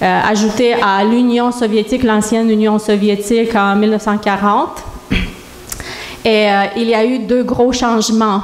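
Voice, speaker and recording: The delivery is monotone and flat, at a fairly slow pace and very even loudness. Noticeable background noise and audible room echo fill the recording. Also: woman, fairly high pitch for a woman. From Moldova. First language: Romanian (speaking French). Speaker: church member giving testimony. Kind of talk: testimony. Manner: halting.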